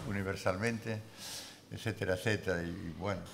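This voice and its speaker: The man's voice sits at a fairly low pitch. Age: 80s+. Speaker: book editor and author. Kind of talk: panel discussion. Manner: halting.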